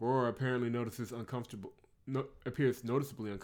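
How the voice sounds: The speaker uses a natural reading voice. It sounds like reading aloud, natural in manner.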